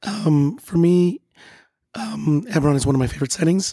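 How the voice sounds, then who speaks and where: A man speaks in a dark, mellow, somewhat breathy tone with lively intonation. The sound is dry and close, with no echo. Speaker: podcast co-host. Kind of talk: casual chat.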